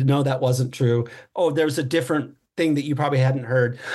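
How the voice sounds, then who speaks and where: A somewhat breathy man with an American accent, fairly high pitch, fairly even intonation and a moderate pace. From US West Coast (Los Angeles South Bay). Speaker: writer and drummer. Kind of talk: casual chat.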